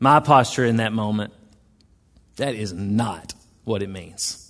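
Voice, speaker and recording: Ordinary pitch variation in a Southern US accent over a quiet background. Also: man. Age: 40s. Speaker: pastor. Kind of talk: sermon. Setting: church.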